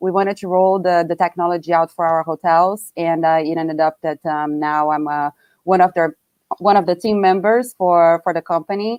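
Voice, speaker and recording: A woman's fairly low voice with a slight Brazilian accent, fairly even intonation and moderate pace, dry and close with no echo, music in the background. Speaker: hotel tech company staff, panelist. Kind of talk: live webinar panel chat.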